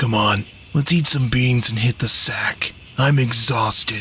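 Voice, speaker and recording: A put-on character voice at a fairly slow pace, very even in loudness, over clear background noise. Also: man, medium pitch for a man. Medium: video game.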